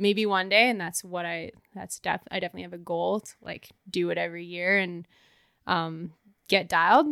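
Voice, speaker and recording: A woman with a Canadian accent talks at a moderate pace in a bright, sharp, fairly low voice, her intonation fairly even but her loudness swinging widely. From Canada, Banff, Alberta. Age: 30s. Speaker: professional skier. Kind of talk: casual chat. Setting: in person, Whistler.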